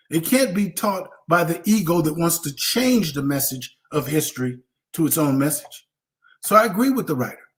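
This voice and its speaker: This is a high-pitched man with an American accent and an animated tone. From US West Coast. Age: 60s. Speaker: veteran street dancer. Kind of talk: live online Q&A panel.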